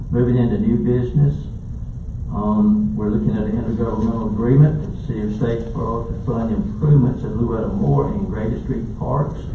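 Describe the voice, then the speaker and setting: Over noticeable background noise and audible room echo, a man with a Southern US accent talks at a fairly quick pace, his medium-pitched voice full of lively intonation. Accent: Southern US (Georgia). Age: 70s. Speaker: county commission chairman. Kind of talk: public meeting chairing. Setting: meeting room.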